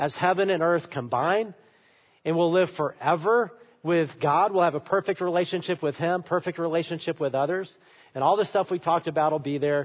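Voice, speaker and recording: Speaking at a fairly quick pace, a man with a high pitch keeps his loudness very even and his pitch variation ordinary. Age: 50s. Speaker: pastor. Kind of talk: sermon.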